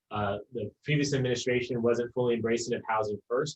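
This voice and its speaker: A somewhat breathy male voice. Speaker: mayor. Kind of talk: panel discussion. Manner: fast.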